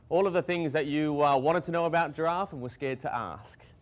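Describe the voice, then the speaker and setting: A man speaks at a very fast pace with an Australian accent. His pitch is fairly high. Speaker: conservation scientist. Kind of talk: public talk.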